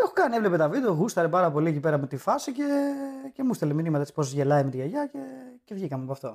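Very fast delivery with lively intonation. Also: man, fairly high pitch for a man. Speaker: comedian. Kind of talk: casual chat.

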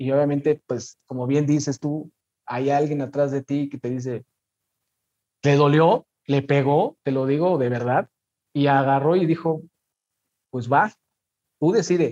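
A man's voice sits fairly high in pitch, with a dark, mellow tone and fairly even intonation. He talks at a fairly slow pace with long, frequent pauses, and the sound is dry and close with no echo. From Mexico City. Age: 30s. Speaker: football content creator. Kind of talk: casual interview.

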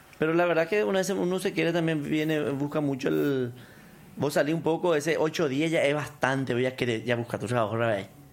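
Using a plain, everyday voice, a man speaks at a fairly quick pace and fairly high pitch, with ordinary pitch variation and very even loudness. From Paraguay, Canindeyú border region. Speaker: businessman. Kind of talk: casual interview.

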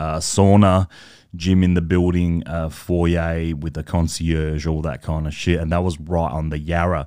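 Captured on a very clean recording with a silent background, a man speaks with a very deep, low pitch and a dark, mellow tone. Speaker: podcast host. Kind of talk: casual monologue. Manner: animated.

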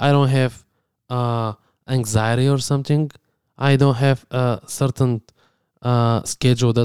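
A very slow man's voice in a Bulgarian accent, dark and mellow in tone, fairly even in intonation, with a dry, close sound and no echo. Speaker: podcast co-host. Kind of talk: casual chat.

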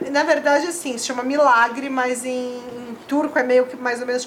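Noticeable background noise and audible room echo surround a woman's voice. She speaks at a high pitch with fairly even intonation. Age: 30s. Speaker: adult museum visitor. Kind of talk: casual chat. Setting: studio.

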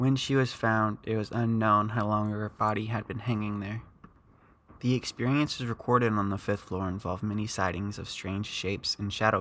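A man with an unremarkable speaking voice talks at a fairly low pitch. His pace is moderate and his intonation fairly even. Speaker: podcast host. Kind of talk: true-crime horror narration, scripted-style storytelling read to listeners. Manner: measured, ominous, steady pacing with a spooky storyteller tone; casual and friendly when chatting with listeners at the end.

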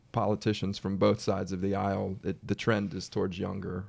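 With an American accent and an ordinary speaking voice, a man speaks at a fairly quick pace in a fairly low pitch, captured in a very clean recording with a silent background. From Washington DC area. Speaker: podcast host. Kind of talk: interview.

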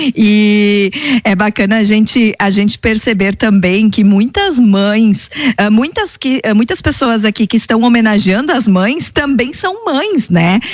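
Somewhat breathy and fairly high-pitched, a woman talks at a very slow pace with ordinary pitch variation. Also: very even loudness. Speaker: radio co-host. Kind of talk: live radio show. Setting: radio studio.

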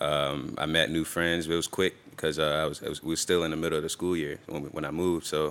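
Through noticeable background noise, a man with a very deep, low pitch rattles along at a very fast pace, hardly pausing, in a monotone, flat intonation. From Tampa, Florida. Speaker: artist. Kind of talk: casual interview.

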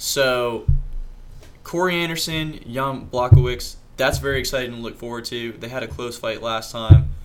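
Someone speaks at a moderate pace with an American accent and ordinary pitch variation. Audible room echo surrounds the voice. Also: man, medium pitch for a man. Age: 20s. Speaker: amateur mixed martial artist. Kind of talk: casual chat.

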